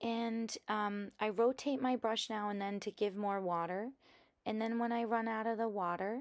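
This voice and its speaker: A woman talks in a relaxed tone at fairly high pitch, keeping her intonation fairly even. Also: very clean recording, silent background. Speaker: art journaling tutorial creator. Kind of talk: tutorial. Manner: slow; relaxed, hesitant with fillers.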